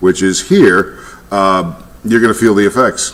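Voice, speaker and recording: Noticeable background noise fills the recording. Over it, a man talks with an American accent. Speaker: weather reporter. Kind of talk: live weather commentary.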